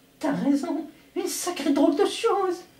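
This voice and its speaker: A man's cartoonish character voice, whiny in tone, at an extremely high pitch and a moderate pace. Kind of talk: impression of a French cartoon dub. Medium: fan dub. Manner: jittery, whiny.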